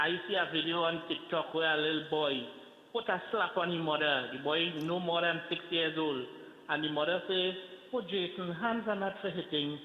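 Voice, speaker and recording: A man talks with a high pitch and fairly even intonation at a moderate pace, noticeable background noise behind him. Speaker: caller. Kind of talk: call-in comment.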